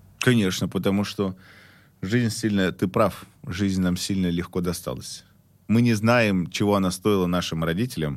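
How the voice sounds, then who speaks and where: Long, frequent pauses break up speech at a moderate pace, captured in a very clean recording against a silent background. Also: man, very deep, low pitch for a man, ordinary pitch variation. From Russia, Omsk. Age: 30s. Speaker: marketing consultant and author. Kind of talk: casual chat.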